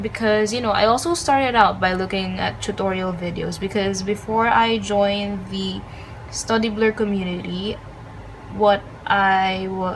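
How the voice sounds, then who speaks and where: A medium-pitched woman, fairly slow and fairly even in intonation, with audible room echo. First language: not English. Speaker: studygram and lettering creator. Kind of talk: tutorial. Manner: hesitant, many filler ums.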